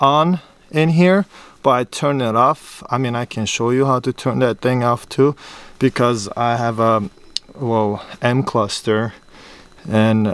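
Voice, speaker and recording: A man's fairly slow speech with long, frequent pauses and ordinary pitch variation, dry with no echo. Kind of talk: tutorial. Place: car. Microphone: phone near.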